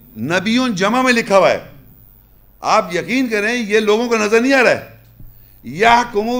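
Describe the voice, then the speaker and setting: A man with a high-pitched voice speaks with ordinary pitch variation amid audible room echo. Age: 50s. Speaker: religious lecturer. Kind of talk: lecture.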